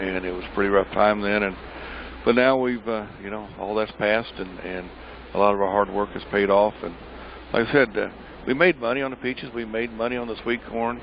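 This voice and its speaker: A man with a fairly low pitch and fairly even intonation talks at a fairly quick pace as noticeable background noise plays. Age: 60s. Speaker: pecan farmer. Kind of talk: interview. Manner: halting.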